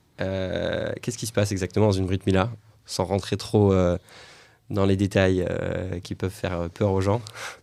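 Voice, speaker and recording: The recording is very clean, with a silent background. A man talks at a fairly low pitch in a monotone, flat intonation. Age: 30s. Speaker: podcast host, rabbi teacher. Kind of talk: interview.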